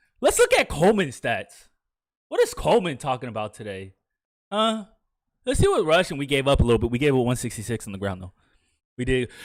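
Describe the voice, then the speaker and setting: Loud and animated, a man with a fairly high pitch talks at a very fast pace with very wide pitch swings. He leaves long, frequent pauses. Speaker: video game streamer. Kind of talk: live game commentary.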